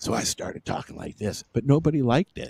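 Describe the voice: Raspy and very fast, a man rattles off lines in a put-on character voice at a medium pitch.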